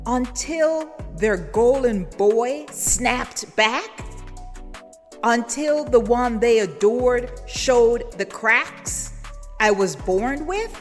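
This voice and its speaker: Over music in the background, a woman speaks very slowly at a high pitch with ordinary pitch variation. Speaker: spoken word poet. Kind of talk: spoken word poetry performance.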